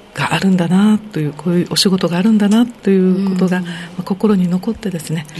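A woman speaks fairly quickly, with noticeable background noise around her. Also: medium pitch for a woman, fairly even intonation. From Okinawa (Naha). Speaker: city council member. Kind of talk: radio interview.

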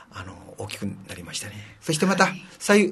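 A man speaks at a fairly quick pace with a high pitch and lively intonation. Noticeable background noise and audible room echo fill the recording. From Okinawa, Shuri (Naha). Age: 70s. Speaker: city council member. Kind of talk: interview.

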